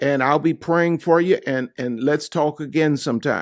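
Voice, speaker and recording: A man speaks in a plain, everyday voice with lively intonation. The recording is very clean, with a silent background. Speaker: pastor. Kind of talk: sermon.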